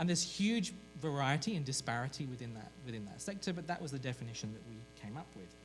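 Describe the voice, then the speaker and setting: Over background music and audible room echo, a man with a British accent talks very fast at a medium pitch, with very wide pitch swings and big swings in loudness. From Britain. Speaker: journalism professor and researcher. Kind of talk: conference presentation. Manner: hesitant, with many fillers.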